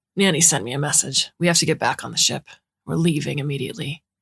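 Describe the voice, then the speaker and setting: A man's raspy, put-on character voice, fairly high in pitch, at a very fast pace. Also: dry, close sound with no echo. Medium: read story.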